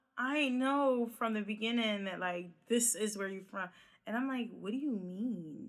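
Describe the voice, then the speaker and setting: At a moderate pace, a woman with a Philadelphia accent talks in a fairly high pitch with ordinary pitch variation. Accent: Philadelphia, drops -ing endings. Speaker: podcast host. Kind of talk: casual chat.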